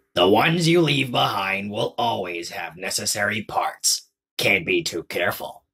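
A raspy male voice with lively intonation at a moderate pace. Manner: tired, gloomy, dry.

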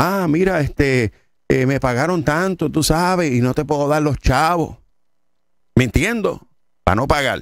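Against a quiet background, a man talks at a fairly slow pace with lively intonation and a dry sound with no echo. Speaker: preacher. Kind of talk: sermon. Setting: studio. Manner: animated. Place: studio. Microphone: studio mic.

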